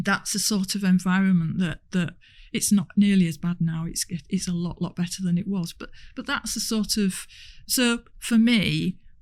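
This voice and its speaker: A woman with a Hull accent sounds somewhat breathy, speaking at a medium pitch and moderate pace with fairly even intonation on a very clean recording with a silent background. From northern England, Hull. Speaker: transport industry executive. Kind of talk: podcast interview.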